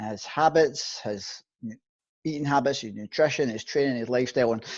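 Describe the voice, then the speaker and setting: Against a quiet background, a man with a normal speaking voice and a medium pitch speaks at a fairly quick pace with ordinary pitch variation and big swings in loudness. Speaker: fitness and nutrition coach. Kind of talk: interviewer.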